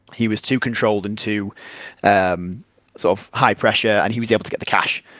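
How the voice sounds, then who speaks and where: A man's fairly low voice in an English accent, with monotone, flat intonation and a dry, close sound with no echo. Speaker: tabletop wargame tournament player. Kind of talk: casual interview. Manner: fast.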